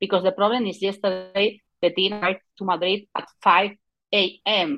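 A woman speaks at a moderate pace. She has a Spanish accent. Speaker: football journalist. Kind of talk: interview conversation. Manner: halting, hesitant English.

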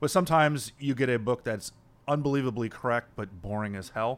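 This is a man with an American accent and ordinary pitch variation, an unremarkable speaking voice. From US, South Florida. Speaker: podcast host, museum historian and curator. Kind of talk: interview host, casual conversation.

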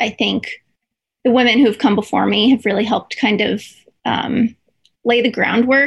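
This woman speaks at a fairly high pitch with fairly even intonation. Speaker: baseball beat reporter. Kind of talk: interview.

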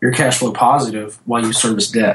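A moderate pace with a Southern US accent. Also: man. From US South, North Louisiana. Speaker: design agency owner. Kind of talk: interview.

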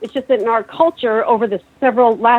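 At a fairly quick pace, a woman with a fairly high pitch speaks in an unremarkable speaking voice. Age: 50s. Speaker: chef and keto diet advocate. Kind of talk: casual call-in conversation. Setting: phone call.

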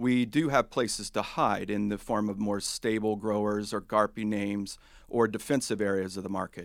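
Speech comes in a normal speaking voice with an American accent at a moderate pace. Intonation is fairly even on a very clean recording with a silent background. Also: man. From US South, Huntington, West Virginia. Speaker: portfolio manager. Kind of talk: interview on investing.

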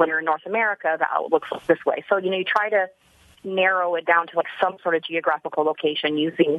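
A woman's fairly low voice moves with ordinary pitch variation. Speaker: citizen detective. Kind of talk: interview. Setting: studio.

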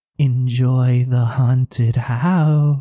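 The speaker, a man, uses a put-on character voice. It sits at a medium pitch. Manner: weird, spooky, put-on voice.

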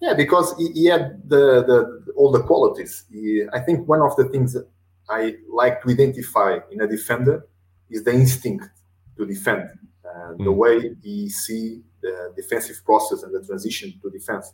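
Loudness swings a lot, and the intonation is lively, with a Portuguese accent. The voice is somewhat breathy at a moderate pace. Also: man, medium pitch for a man. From Portugal. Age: 40s. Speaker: football coach. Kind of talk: interview. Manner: halting.

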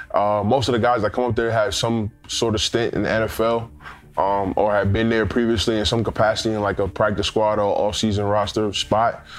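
A man with a New York accent, fairly low-pitched, in a monotone, flat delivery at a moderate pace against a quiet background. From US Northeast, Queens, New York. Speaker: former pro football player. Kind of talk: interview testimony.

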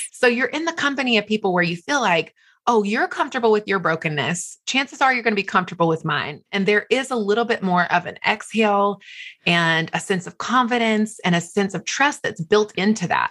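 A woman with an American accent talks at a fairly quick pace in a bright, sharp tone with lively intonation, on a very clean recording with a silent background. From US South, small town. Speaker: author and speaker. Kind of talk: interview.

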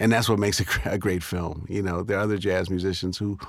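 Very deep, low male tones marked by vocal fry, with ordinary pitch variation. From New York, Harlem. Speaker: documentary filmmaker. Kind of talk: interview. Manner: halting, many fillers.

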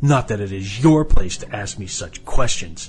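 A man does a put-on character voice, fairly low in pitch with lively intonation at a moderate pace. Music plays in the background, and there is hissing. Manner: hissing, vicious.

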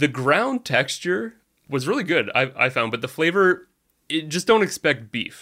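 The tone is bright and sharp, and the pitch swings very widely. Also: man, fairly high pitch for a man, moderate pace. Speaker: co-producer and editor. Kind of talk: casual conversational chat, podcast episode.

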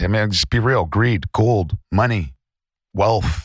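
He speaks in a Canadian accent with vocal fry. The man's pace is fairly slow. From British Columbia, Canada. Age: 30s. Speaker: treasure hunter and podcast co-host. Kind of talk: interview.

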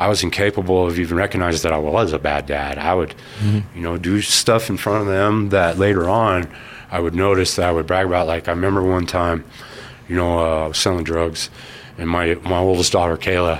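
A man speaks in a very deep, low voice over noticeable background noise. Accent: American. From Colorado Springs, US. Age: 40s. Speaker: person in addiction recovery. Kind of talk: interview testimony.

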